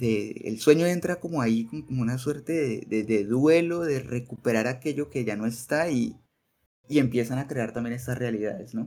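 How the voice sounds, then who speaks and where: At a moderate pace, a man with a dark, mellow tone speaks at a medium pitch with ordinary pitch variation. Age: 20s. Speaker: teacher. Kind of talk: casual chat.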